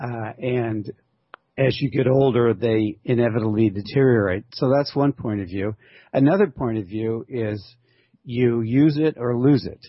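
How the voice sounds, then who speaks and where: Here is a man with a plain, everyday voice at medium pitch. His pitch varies in an ordinary way at a fairly slow pace. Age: 60s. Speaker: author and ultramarathon runner. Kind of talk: interview conversation. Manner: relaxed, frequent fillers.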